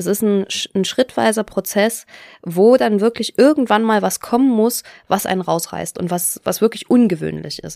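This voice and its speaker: A woman's dark, mellow tone at a medium pitch with ordinary pitch variation, dry and close with no echo, on a very clean recording with a silent background. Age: 20s. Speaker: author and former party official. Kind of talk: interview.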